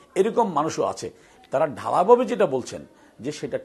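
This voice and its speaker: Vocal fry runs through this man's voice. His pitch swings very widely over a quiet background. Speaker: ruling party publicity official. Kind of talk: televised political debate.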